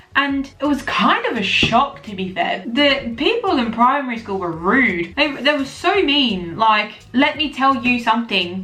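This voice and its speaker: Over noticeable background noise, a woman speaks in a high pitch and an animated tone, at a fairly slow pace with very wide pitch swings and hardly any pauses. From England. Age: 20s. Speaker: content creator. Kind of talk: casual vlog chat.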